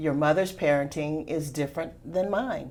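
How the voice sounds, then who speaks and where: Her voice is very deep and low for a woman. She speaks at a moderate pace. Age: old. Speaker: panelist on a local talk show. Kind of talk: panel discussion.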